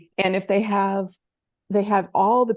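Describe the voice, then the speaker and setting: A woman's plain, everyday voice at medium pitch, at a fairly slow pace against a quiet background. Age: 60s. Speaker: tech and marketing coach for coaches. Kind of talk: interview.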